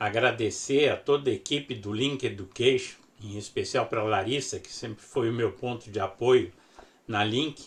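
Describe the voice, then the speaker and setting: A man speaks at a fairly slow pace in a medium-pitched, somewhat breathy voice. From southern Brazil, Porto Alegre. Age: 70s. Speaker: professor of sports medicine. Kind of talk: lecture.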